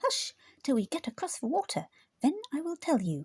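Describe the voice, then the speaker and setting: A high-pitched, female-sounding put-on character voice at a moderate pace. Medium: read story.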